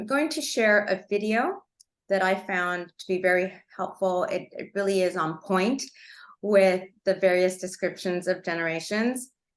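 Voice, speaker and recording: Against a quiet background, a woman speaks at a moderate pace and medium pitch, with ordinary pitch variation and big swings in loudness. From Los Angeles, Cuban immigrant family. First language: Spanish. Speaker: attorney presenter. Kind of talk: webinar presentation. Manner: halting, many fillers.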